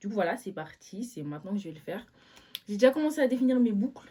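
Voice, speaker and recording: A woman at medium pitch talks very fast with lively intonation. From Switzerland. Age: 20s. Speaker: vlogger. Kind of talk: casual chat. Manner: animated.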